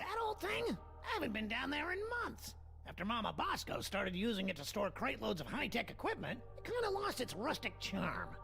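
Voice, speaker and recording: Over clear music in the background, a man rattles along at a fairly quick pace in a put-on character voice. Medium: video game. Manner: whiny, defensive.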